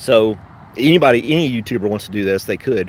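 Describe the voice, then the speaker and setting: A man's medium-pitched voice with a slight Southern US accent. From US South, western Tennessee. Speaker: YouTuber and postal worker. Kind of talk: casual live stream chat. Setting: live stream. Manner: fast, sometimes slips on words.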